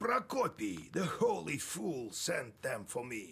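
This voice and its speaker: A man uses a put-on character voice that is raspy and delivered at a fairly slow pace. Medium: machinima. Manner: gruff, storytelling.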